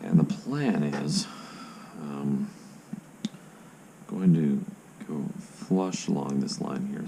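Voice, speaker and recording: A quiet man's voice comes through noticeable background noise. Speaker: armor builder, prop maker. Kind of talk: casual tutorial talk to camera. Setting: home recording at night. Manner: hushed, quiet; slow, patient.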